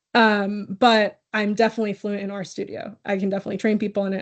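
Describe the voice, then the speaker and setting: Very fast and with vocal fry, a woman speaks at a medium pitch in an American accent over a quiet background. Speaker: academic researcher presenter. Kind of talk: conference Q&A answer. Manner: casual, hesitant with fillers.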